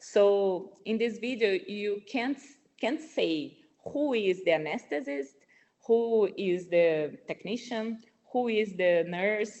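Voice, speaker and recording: With a strong non-native accent, a woman speaks at a very slow pace in a fairly high pitch, her intonation lively. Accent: strong foreign. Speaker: nurse researcher. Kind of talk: webinar presentation. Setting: online webinar. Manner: halting, with many repetitions.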